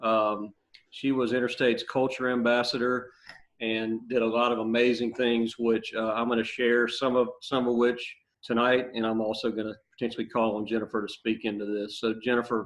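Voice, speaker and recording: At a moderate pace, a man with a strong Louisiana accent speaks at medium pitch in a monotone, flat intonation. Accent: Southern US (Louisiana), strong. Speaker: business executive. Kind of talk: online interview conversation.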